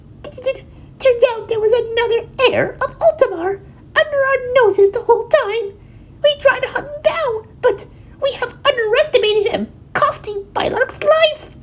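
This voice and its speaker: A woman puts on a squeaky character voice at an extremely high pitch. It comes out shaky, at a moderate pace. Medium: read story. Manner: trembling, pleading.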